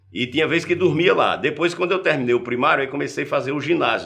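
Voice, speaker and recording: A man's very fast speech with vocal fry. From Paraíba backlands, Brazil. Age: 60s. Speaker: journalist. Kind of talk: interview, personal life story.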